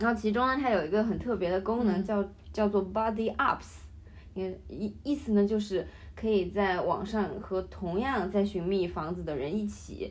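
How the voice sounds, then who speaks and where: A woman's medium-pitched voice with vocal fry, ordinary pitch variation, and a moderate pace. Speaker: international student. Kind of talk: casual chat.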